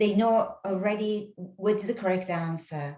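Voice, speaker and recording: This woman's voice sits at a medium pitch and is somewhat breathy. Her pitch moves with ordinary variation. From Japan, Kansai (Nara). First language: Japanese. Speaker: English teacher. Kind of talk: interview. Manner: halting.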